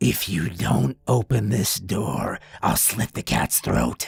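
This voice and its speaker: A man does a growling, put-on character voice at a fairly slow pace. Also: fairly low pitch for a man. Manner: sinister, menacing.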